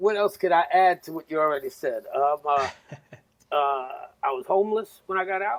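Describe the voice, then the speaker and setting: Talking at a moderate pace, a man with a New York accent uses a high-pitched voice. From New York, South Bronx. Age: 50s. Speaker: navy veteran, former radio host. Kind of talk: casual chat.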